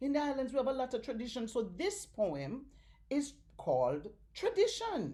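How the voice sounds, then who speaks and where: A woman talks at a moderate pace in a Jamaican accent, her pitch swinging very widely. Her tone is dark and mellow, and somewhat breathy. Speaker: storyteller. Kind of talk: children's story reading. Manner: animated.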